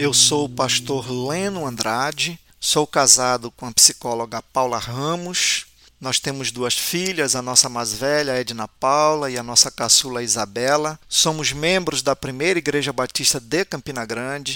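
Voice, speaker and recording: A man's medium-pitched voice, bright and sharp in tone, at a fairly slow pace with hardly any pauses and ordinary pitch variation. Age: 50s. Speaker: pastor and theologian. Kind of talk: self-introduction. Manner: formal.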